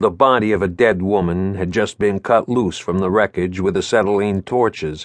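A man with a fairly low pitch talks at a moderate pace in a tearful tone. The sound is dry and close, with no echo. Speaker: audiobook narrator. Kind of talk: first-person thriller audiobook narration with voiced dialogue. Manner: shifts from clipped noir narration to tearful, halting character voice.

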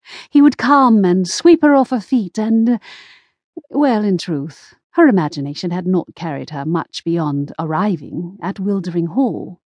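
A woman speaks at a medium pitch and a fairly slow pace. Her tone is animated and theatrical, with very wide pitch swings. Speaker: audiobook narrator. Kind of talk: dramatic audiobook narration, scripted Regency romance read aloud with character voices. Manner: expressive storyteller, gasping and lightly wry.

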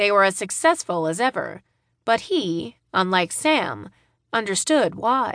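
A woman speaks at a fairly slow pace in a medium pitch, with lively intonation. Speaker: audiobook narrator. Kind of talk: scripted audiobook narration of a romance novel. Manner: dramatic; expressive, voicing characters.

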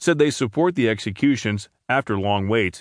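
Over a quiet background, a man with a normal speaking voice talks at a fairly quick pace with lively intonation, the sound dry and close with no echo. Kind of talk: news reading. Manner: formal, steady, neutral newsreader delivery; even-paced and measured.

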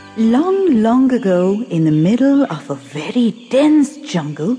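Against noticeable background noise, a woman speaks at a fairly slow pace in a high pitch with very wide pitch swings. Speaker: audiobook narrator. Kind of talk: scripted narration; children's audiobook storytelling with character voices. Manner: dramatic, expressive, voicing the characters.

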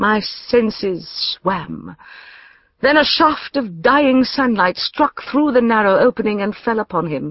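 A woman with a fairly high pitch speaks fairly slowly in a normal speaking voice, her intonation lively. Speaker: audiobook narrator. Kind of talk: audiobook narration, first-person scripted reading in the voice of a Victorian-era lady. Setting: studio.

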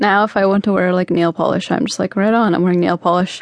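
A woman speaks in an ordinary speaking voice. Her pitch is medium, with ordinary variation. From Canada. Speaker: singer. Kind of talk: radio interview.

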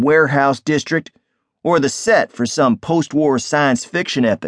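At a moderate pace, a man speaks in an unremarkable speaking voice, fairly high in pitch. The sound is dry and close with no echo, and the background is quiet. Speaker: audiobook narrator. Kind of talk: first-person noir audiobook narration, wry and world-weary. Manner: measured, sardonic storytelling cadence; gruff character voices in dialogue.

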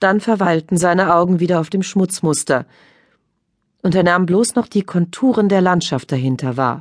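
A woman with an unremarkable speaking voice talks at a moderate pace and fairly low pitch, with ordinary pitch variation, very even loudness and a quiet background. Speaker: audiobook narrator. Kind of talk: dramatic audiobook narration of a crime thriller.

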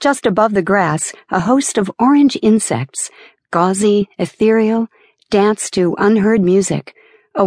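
A woman's medium-pitched, normal speaking voice at a fairly slow pace, dry and close with no echo. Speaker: audiobook narrator. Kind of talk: dramatic first-person audiobook narration of a novel. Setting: studio. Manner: shifts to a lighter, laughing tone for dialogue, then softer for scenic description.

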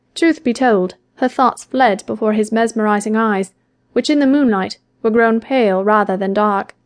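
There's a natural reading voice with ordinary pitch variation over a quiet background.

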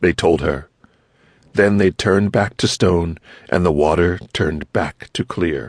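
A man's very deep, low voice, animated in tone, at a fairly slow pace with ordinary pitch variation, in a dry, close sound with no echo. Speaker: audiobook narrator. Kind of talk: audiobook narration. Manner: animated, storytelling, voicing characters; gentle, child-friendly pacing.

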